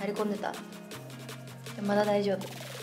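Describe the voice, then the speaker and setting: Clear music runs in the background as a woman talks. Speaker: vlogger. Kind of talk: casual vlog chat.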